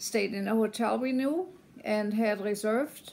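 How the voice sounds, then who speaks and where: Someone speaks with a German accent at a fairly slow pace. The pitch variation is ordinary. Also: woman. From Germany. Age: 70s. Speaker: business consultant and community volunteer. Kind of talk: personal video message. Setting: self-recorded video at home. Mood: calm, hopeful. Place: home room. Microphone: phone near.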